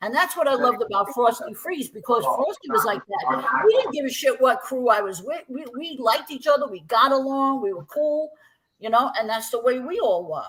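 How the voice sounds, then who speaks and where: Talking at a fairly quick pace in an animated tone, a woman with a Brooklyn accent has a high pitch, very wide pitch swings and big swings in loudness. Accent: New York (Brooklyn). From Brooklyn, New York. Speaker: breakdancer. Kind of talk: casual interview chat.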